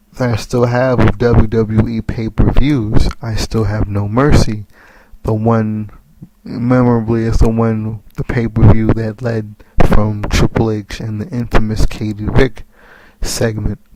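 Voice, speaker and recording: Someone with an American accent speaks at a fairly slow pace with monotone, flat intonation, and there is noticeable background noise. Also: man, medium pitch for a man. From US Northeast (tri-state area). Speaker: wrestling commentary vlogger. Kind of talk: casual monologue. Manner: halting, repeats words.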